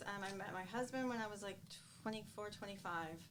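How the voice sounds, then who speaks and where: With audible room echo and noticeable background noise, a woman with an American accent speaks at medium pitch with ordinary pitch variation. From US Midwest, Chicago area. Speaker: real estate team owner. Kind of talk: podcast interview.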